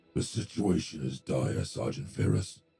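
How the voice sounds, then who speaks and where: A man uses a raspy put-on character voice, very deep and low. His pitch swings very widely at a moderate pace. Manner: tight with suppressed pain, fury.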